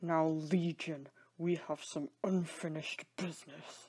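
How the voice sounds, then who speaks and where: A put-on character voice at a middle pitch, fairly slow, with monotone, flat intonation. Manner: angry, through gritted teeth.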